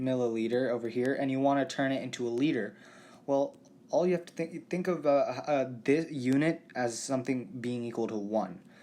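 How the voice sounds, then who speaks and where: A man speaks at a medium pitch and moderate pace, with ordinary pitch variation. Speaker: chemistry tutor. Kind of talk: tutorial. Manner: halting, many fillers and restarts.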